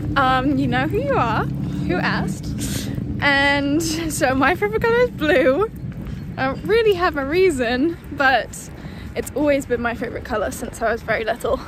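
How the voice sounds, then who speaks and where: Noticeable background noise sits behind a woman's voice. She speaks at a moderate pace with a British accent. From London, England. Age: 20s. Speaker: medical student, vlogger. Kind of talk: casual chat. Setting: outdoors, walking.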